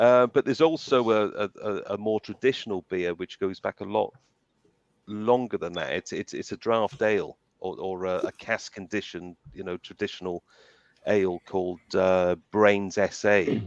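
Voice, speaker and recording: Recorded with a dry, close sound and no echo, a man speaks at a moderate pace. His pitch is fairly low, with ordinary variation. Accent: South Wales. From Wales (South Wales, Cardiff / Barry Island). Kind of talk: casual chat. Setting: live stream show. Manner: halting, many repeated words.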